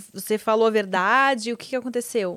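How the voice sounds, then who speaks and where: This is an unremarkable speaking voice from a woman. Her pitch is fairly high, with ordinary variation. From Rio Grande do Sul, Brazil (Porto Alegre). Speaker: podcast host. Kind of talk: casual interview.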